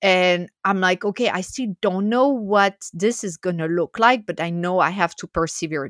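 Recorded very cleanly with a silent background and a dry, close sound without echo, a woman with a French accent speaks at a medium pitch and moderate pace, with ordinary pitch variation. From France. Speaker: food writer and chocolate educator. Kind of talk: interview. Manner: animated.

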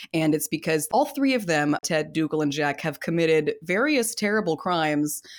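A woman with a Californian accent talks at a moderate pace, her fairly low pitch set in lively intonation and very even loudness. There are hardly any pauses, and the recording is very clean with a silent background. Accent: Californian American. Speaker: podcast host. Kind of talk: casual chat. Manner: animated, jokey.

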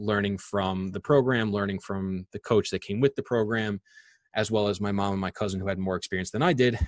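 With a dry, close sound and no echo, a man with an ordinary speaking voice speaks at a fairly low pitch with fairly even intonation. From Long Island, New York. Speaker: real estate investor. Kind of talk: interview.

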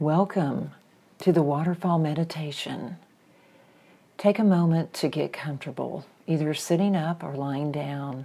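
Very deep and low in pitch, a woman with a dark, mellow tone speaks at a fairly slow pace with fairly even intonation and long, frequent pauses. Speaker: meditation guide. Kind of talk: guided visualization meditation, gentle second-person imagery. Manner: slow, soothing, unhurried pacing with breath cues; warm, nurturing and affirming.

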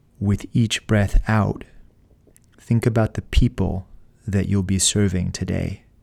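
With a soothing tone, a man speaks fairly slowly in a fairly low, flat monotone, leaving long, frequent pauses. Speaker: frontline healthcare worker. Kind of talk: guided pre-shift meditation, calm and encouraging. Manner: slow, measured, soothing pacing with breathing cues; gently motivational, rising to quiet resolve.

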